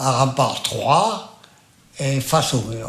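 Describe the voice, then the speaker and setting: With noticeable background noise behind him, a man speaks at medium pitch with ordinary pitch variation. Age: 80s+. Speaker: massacre survivor, witness. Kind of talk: interview answer.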